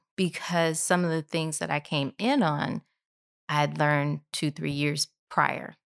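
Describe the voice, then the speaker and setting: The sound is dry and close, with no echo, on a very clean recording with a silent background. Speech moves at a fairly slow pace with fairly even intonation. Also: woman, very deep, low pitch for a woman. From Tennessee, then St. Louis. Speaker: bakery and restaurant owner, chef. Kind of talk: casual interview.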